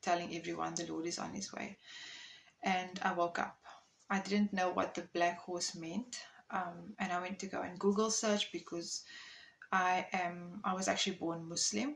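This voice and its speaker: A woman with a South African accent, fairly low pitch, fairly even intonation and a moderate pace. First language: Afrikaans. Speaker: content creator. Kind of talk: personal testimony. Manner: hesitant, many fillers.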